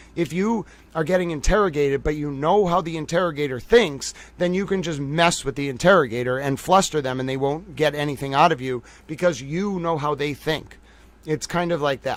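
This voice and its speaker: Delivered at a fairly quick pace in a Boston accent, the speech has ordinary pitch variation. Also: man, fairly high pitch for a man. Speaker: livestream commentator. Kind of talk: live stream analysis. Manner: casual, filler-heavy.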